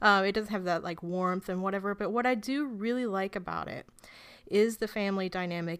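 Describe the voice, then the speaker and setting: The pitch moves with ordinary variation in an ordinary speaking voice. The background is silent and the recording very clean. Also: woman. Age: 30s. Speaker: film website editor and podcaster. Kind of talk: casual chat.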